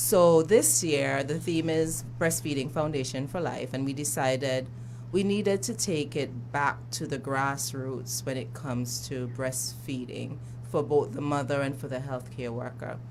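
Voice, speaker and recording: Delivered at a fairly slow pace in an Antiguan accent, the voice shows vocal fry, and audible room echo fills the recording. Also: woman, very deep, low pitch for a woman, ordinary pitch variation. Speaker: breastfeeding advocate. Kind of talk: radio interview. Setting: radio studio.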